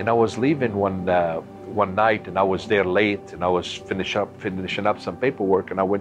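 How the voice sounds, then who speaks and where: A man at a fairly low pitch and moderate pace, with music in the background. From Lebanon, Beirut. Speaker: church member giving testimony. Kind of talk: testimony.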